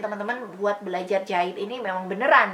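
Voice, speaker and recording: Noticeable background noise accompanies a woman whose pitch variation is ordinary. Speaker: sewing tutorial youtuber. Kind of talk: casual Q&A vlog talk.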